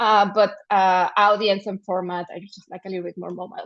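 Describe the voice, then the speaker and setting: A woman with a Spanish accent. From Mexico. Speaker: journalism trainer and panelist. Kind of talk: panel discussion. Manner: halting, with many repetitions and false starts.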